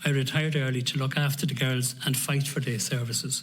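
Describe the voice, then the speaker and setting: A man's somewhat breathy, fairly high-pitched voice with audible room echo. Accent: Irish. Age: 60s. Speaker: family carer, retired nurse. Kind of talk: prepared testimony.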